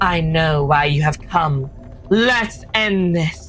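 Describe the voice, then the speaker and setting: A put-on character voice at a middle pitch crawls along at a very slow pace. Clear background noise and hissing sit behind it. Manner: hissing, sharp.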